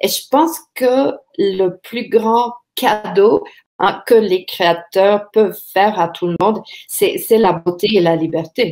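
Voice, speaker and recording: A woman at a very slow pace, medium pitch and ordinary pitch variation, with an English accent. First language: English (speaking French). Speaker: author. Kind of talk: panel discussion. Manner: halting, many hesitations.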